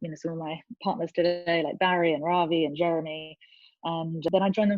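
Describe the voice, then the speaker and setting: A woman with an English accent talks at a fairly quick pace in a fairly low pitch with fairly even intonation. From England. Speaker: venture capital investor. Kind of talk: interview.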